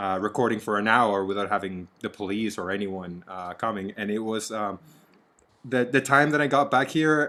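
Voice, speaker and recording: On a very clean recording with a silent background, a man with a Spanish accent speaks in a fairly low pitch with a bright, sharp tone. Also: ordinary pitch variation, moderate pace. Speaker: actor and podcast co-host. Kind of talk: casual chat.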